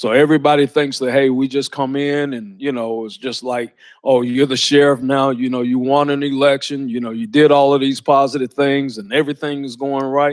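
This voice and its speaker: With a Georgia accent, a man at fairly high pitch talks at a fairly quick pace in a monotone, flat intonation, with hardly any pauses. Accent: Southern US (Georgia). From US South, Lawrenceville, Georgia. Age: 60s. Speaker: sheriff. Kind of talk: motivational talk. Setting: college speaking event with audience. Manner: casual, conversational.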